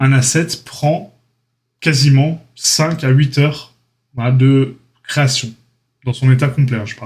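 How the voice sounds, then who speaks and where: At a very slow pace, a man speaks with a medium pitch and fairly even intonation. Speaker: 3D art trainer, YouTuber. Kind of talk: casual channel update talk. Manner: hesitant, many fillers.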